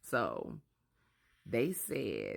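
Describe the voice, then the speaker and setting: A woman speaks quietly. The recording is very clean, with a silent background. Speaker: social media creator. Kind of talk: casual vlog monologue. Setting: at home with sleeping babies. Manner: low, quiet voice. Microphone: very close to the mic.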